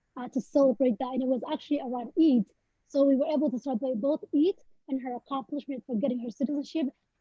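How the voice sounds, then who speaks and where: A high-pitched woman's voice in a Somali accent. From Somalia. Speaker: poet. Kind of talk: panel interview. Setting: webinar video call. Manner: halting, many fillers.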